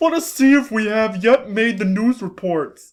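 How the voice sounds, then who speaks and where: A man puts on a character voice, high-pitched with lively intonation. He keeps a moderate pace. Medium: read story. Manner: formal, stiff.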